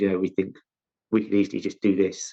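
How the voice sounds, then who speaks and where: Speaking very fast, a man with a London accent uses a fairly low pitch. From South London, England. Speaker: chief scientific officer, chemist. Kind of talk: interview. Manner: halting, many false starts.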